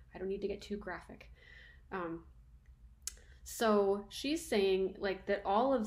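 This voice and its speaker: A moderate pace with ordinary pitch variation and audible room echo. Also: woman. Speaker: university lecturer. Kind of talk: lecture. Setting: recording at home. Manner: casual, conversational.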